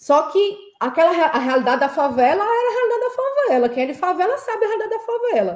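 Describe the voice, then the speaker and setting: Talking at a very fast pace with hardly any pauses, a woman with a strong northeastern Brazilian accent uses an extremely high pitch and very wide pitch swings. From São Paulo, Brazil (Heliópolis), Northeastern parents. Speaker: petroleum engineer. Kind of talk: interview conversation. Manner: halting, many fillers and repetitions.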